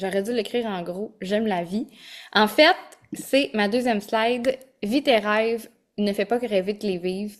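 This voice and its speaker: Someone speaks in a Quebec accent at a fairly slow pace. Pitch varies in an ordinary way, and long pauses come often. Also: woman, fairly high pitch for a woman. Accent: Québécois French. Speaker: holistic coach and yoga teacher. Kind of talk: online masterclass. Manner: energetic.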